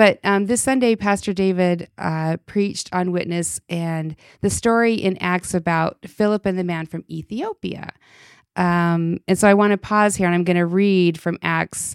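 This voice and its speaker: In a very clean recording with a silent background and a dry, close sound with no echo, a woman with an American accent speaks at a moderate pace in an unremarkable speaking voice, her pitch medium and her intonation fairly even. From Utah. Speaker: church ministry director and podcast host. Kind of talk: casual faith conversation.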